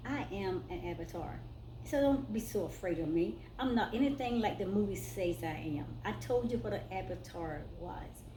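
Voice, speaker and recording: There is audible room echo around a woman's voice. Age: 60s. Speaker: spiritual vlogger. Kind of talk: personal testimony vlog. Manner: casual, conversational.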